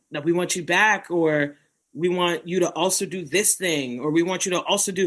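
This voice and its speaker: A woman speaks with a New York accent at medium pitch. Her tone is bright and sharp. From Bronx, New York. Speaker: poet, performer, educator. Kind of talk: interview answer. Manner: casual.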